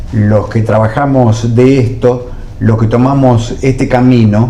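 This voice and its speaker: There is noticeable background noise and audible room echo. A man talks at a medium pitch. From Argentina, Buenos Aires province. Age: 70s. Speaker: journalist and former TV producer. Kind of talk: interview.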